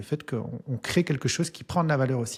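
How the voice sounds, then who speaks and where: In a very clean recording with a silent background, a man talks at a medium pitch, somewhat breathy, with ordinary pitch variation. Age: 40s. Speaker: entrepreneur and business coach, author. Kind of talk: interview. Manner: hesitant, many fillers.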